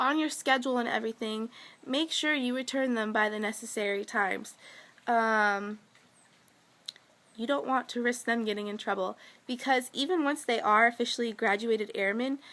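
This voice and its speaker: A woman's fairly high voice with ordinary pitch variation, a bright, sharp tone and long, frequent pauses. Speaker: vlogger, military girlfriend. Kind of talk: casual vlog talk. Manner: fast.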